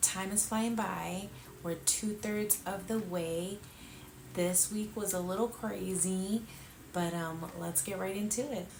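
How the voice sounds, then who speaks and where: Over noticeable background noise and audible room echo, a woman speaks at a very slow pace in a medium pitch with fairly even intonation. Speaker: lifestyle vlogger, mother. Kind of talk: casual vlog. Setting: at home late at night. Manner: quiet, held down so as not to wake kids.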